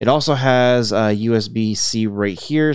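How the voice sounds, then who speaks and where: Against a quiet background, a man's voice comes through dry and free of echo. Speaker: tech reviewer. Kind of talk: product review commentary. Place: home room.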